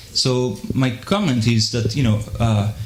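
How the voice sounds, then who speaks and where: Audible room echo follows speech at a fairly slow pace. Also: man. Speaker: audience member asking a question. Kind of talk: audience Q&A. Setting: live debate with audience. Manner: halting, many fillers and repeats.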